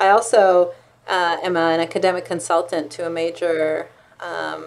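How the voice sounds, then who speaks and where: In an Israeli accent, a woman speaks at a fairly low pitch. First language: Hebrew. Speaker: law professor and author; law professor. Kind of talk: interview. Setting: university office. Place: office. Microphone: webcam.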